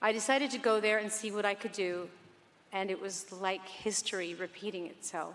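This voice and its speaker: Using an ordinary speaking voice, a woman talks at a fairly quick pace and medium pitch with fairly even intonation. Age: 60s. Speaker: pop singer. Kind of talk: award acceptance speech.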